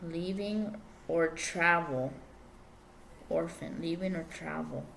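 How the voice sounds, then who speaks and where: Heard with audible room echo, a woman speaks at a very slow pace. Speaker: tarot reader. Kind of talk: tarot reading. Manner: halting.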